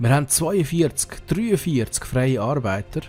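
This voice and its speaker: Music plays in the background as a man speaks at a very slow pace. He uses lively intonation in a Swiss German accent. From Switzerland. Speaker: let's play gamer. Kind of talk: casual gameplay commentary.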